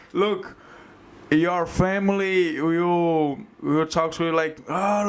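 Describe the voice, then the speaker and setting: A man speaks with a Brazilian accent. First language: Portuguese. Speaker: jiu-jitsu gym owner and fighter. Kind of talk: casual podcast chat. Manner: animated.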